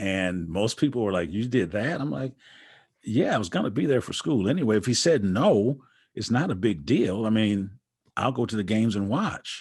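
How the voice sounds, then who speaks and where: The recording is very clean with a silent background, and a man with an ordinary speaking voice talks in an American accent. His pitch is fairly low, his intonation lively and his pace moderate. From Wisconsin, US Midwest. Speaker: basketball coach and author. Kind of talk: interview conversation. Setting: podcast.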